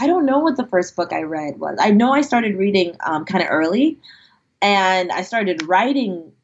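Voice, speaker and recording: A woman with a plain, everyday voice and lively intonation. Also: medium pitch for a woman, moderate pace. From US, Nigerian immigrant family. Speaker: fantasy author. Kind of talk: interview.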